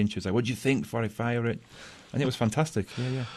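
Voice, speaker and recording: A man with a strong English accent talks at a very fast pace against a quiet background. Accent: thick British (English). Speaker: science teacher. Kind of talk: radio interview. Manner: halting, repeats words.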